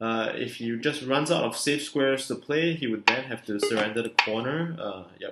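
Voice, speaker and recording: The man speaks at a medium pitch and a moderate pace, with ordinary pitch variation. His words come out mumbled. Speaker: board game streamer. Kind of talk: live gameplay commentary. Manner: mumbling; hesitant with many fillers.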